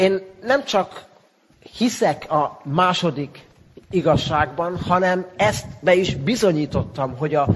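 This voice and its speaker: Over noticeable background noise, a man with a high pitch talks at a moderate pace using lively intonation. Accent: Hungarian. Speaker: interpreter. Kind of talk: consecutive interpreting.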